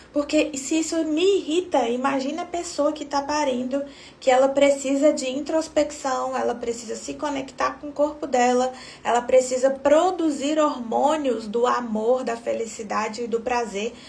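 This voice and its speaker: Soft-spoken and high-pitched, a woman with a Brazilian accent talks over noticeable background noise. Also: ordinary pitch variation, moderate pace. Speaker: obstetrician. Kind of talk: live stream talk.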